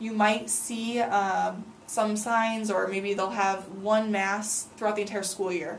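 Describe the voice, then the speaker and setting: At a very slow pace, a woman speaks in a flat monotone at a medium pitch. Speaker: student teacher back from study abroad. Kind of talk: casual interview. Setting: studio. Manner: hesitant with many fillers.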